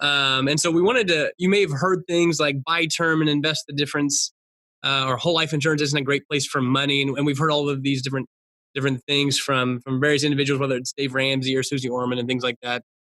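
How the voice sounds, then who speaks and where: At a very fast pace, a man talks with a fairly high pitch, a bright, sharp tone, fairly even intonation and very even loudness, dry and close with no echo. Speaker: financial educator. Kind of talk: webinar presentation. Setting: online webinar.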